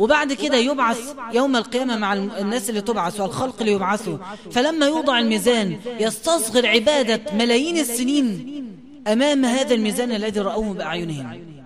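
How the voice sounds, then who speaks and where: Noticeable background noise behind speech of moderate pace and ordinary pitch variation. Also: man, extremely high pitch for a man. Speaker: preacher. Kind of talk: religious lesson.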